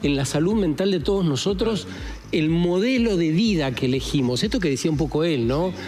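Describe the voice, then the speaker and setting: Over noticeable background noise and audible room echo, a man with a fairly high pitch speaks at a moderate pace with very wide pitch swings. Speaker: radio host. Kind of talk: casual chat.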